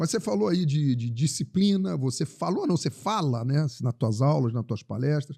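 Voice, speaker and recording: A man speaks at a moderate pace in a fairly high pitch with a somewhat breathy, dark, mellow tone and very wide pitch swings. The recording is very clean with a silent background. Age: 60s. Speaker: tourism entrepreneur. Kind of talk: interview conversation. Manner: halting, many repetitions.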